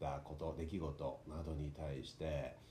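With audible room echo, a man speaks in a very deep, low voice that is somewhat breathy and has a dark, mellow tone. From Tokyo, Japan. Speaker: actor and narrator, podcast host. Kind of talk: casual solo talk.

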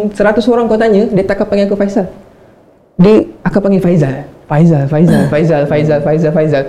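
Noticeable background noise sits behind a man with a high pitch and lively intonation. He keeps a moderate pace and very even loudness. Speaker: podcast co-host. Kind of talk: casual chat.

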